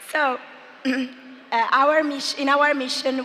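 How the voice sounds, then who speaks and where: Noticeable background noise behind a woman's voice. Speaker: marketing executive. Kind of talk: business presentation.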